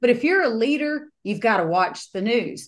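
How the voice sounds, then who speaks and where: A woman speaks at a fairly high pitch with very wide pitch swings over a quiet background. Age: 40s. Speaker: home builder and business coach. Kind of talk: interview.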